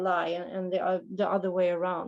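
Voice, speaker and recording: Speaking at a moderate pace, the voice carries a Swedish accent. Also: woman. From Sweden. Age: 30s. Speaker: recovering alcoholic sharing at a meeting. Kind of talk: testimony. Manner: halting.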